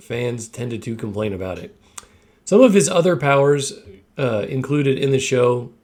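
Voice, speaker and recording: Using a raspy put-on character voice at medium pitch, a man talks at a moderate pace with lively intonation. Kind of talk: documentary narration. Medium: cartoon.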